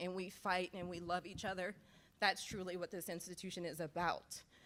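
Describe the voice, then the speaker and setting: Her pitch sits at a medium level for a woman. She talks at a fairly quick pace. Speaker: athletics administrator, emcee. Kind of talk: ceremony speech. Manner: loud, energetic.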